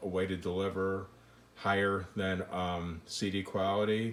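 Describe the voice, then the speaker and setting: Fairly slow in pace, a man speaks with a fairly low pitch. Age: 60s. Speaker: home audio hobbyist demonstrating gear. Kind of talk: tutorial. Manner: halting, many fillers; casual.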